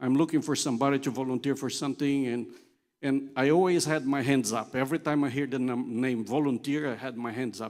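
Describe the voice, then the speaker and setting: This very clean recording with a silent background features a man with a non-native accent. He speaks at a moderate pace with fairly even intonation. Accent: foreign accent, noticeable. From Brazil (São Paulo area, Italian family). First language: Portuguese. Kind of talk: conference talk. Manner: conversational, humorous.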